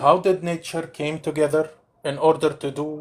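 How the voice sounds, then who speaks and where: This man speaks with a non-native accent. His pitch sits fairly high. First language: not English. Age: 40s. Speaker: caller in debate. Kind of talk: heated debate. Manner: insistent.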